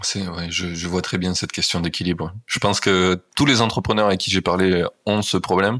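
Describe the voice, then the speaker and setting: This man's voice is very deep and low in pitch. He keeps his intonation fairly even. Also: moderate pace. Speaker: podcast host. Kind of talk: casual interview chat. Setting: Airbnb room, remote recording.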